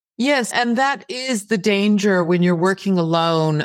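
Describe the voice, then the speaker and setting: Her pitch swings very widely. She is a woman with an American accent. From Texas (El Paso), raised partly in Greece. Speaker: novelist. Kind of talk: interview.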